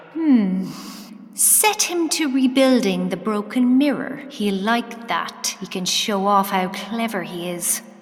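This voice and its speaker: The speaker talks at a very slow pace with lively intonation while music plays in the background. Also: woman, fairly high pitch for a woman. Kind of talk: audio drama narration. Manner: storyteller's tone, measured and vivid, painting the scene.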